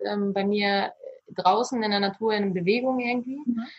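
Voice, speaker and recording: This woman's pitch is fairly high. Her intonation stays monotone and flat. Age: 30s. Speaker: virtual assistant. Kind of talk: interview. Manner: halting, many fillers.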